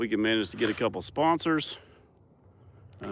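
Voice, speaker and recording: This man speaks in an Arkansas accent. His pitch varies in an ordinary way. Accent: Arkansas southern. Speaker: farmer and building inspector. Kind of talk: casual chat.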